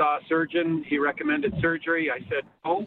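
A man with a normal speaking voice, fairly high-pitched, at a fairly quick pace. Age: 50s. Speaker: caller. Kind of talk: call-in question. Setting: phone call.

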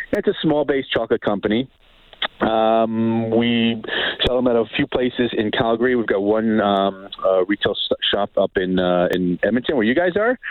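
A man with a New York accent speaks at a moderate pace in a medium pitch. His loudness stays very even, and his pitch varies in an ordinary way. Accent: New York American. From US, New York City area. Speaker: culinary instructor and chocolate business owner. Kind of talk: casual interview. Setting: phone call.

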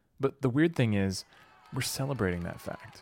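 With crowd noise in the background, a man talks at a medium pitch. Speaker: podcast host and producer. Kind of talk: scripted narration.

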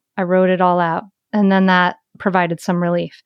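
In a calm tone over a quiet background, the speaker keeps a moderate pace. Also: woman. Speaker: mindfulness mentor and author. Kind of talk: interview conversation.

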